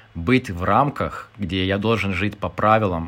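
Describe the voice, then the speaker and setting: With a Lithuanian accent, a man talks in a fairly low pitch. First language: Lithuanian (speaking Russian). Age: 30s. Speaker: podcast guest, former civil servant. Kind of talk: casual chat.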